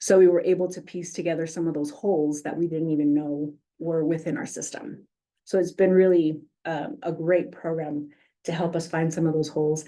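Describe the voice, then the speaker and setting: A woman talks at a fairly quick pace with fairly even intonation. Her fairly low voice has a dark, mellow tone. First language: Spanish. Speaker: police community outreach coordinator. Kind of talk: presentation at a public meeting. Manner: frequent 'um' fillers.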